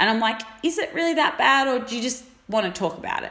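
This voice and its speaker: A woman speaks over noticeable background noise. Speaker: fitness coach. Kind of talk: casual chat.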